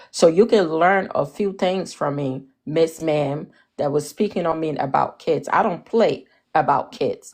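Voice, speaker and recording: An animated woman with an African accent and a fairly low voice, at a fairly slow pace with ordinary pitch variation. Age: 40s. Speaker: live-stream panelist. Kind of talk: heated debate.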